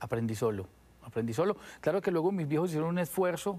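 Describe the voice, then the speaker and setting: A man talks at a very fast pace. His voice is fairly high, with lively intonation. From Colombia, Medellín. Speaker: musician; guest. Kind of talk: TV interview. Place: studio. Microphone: lapel.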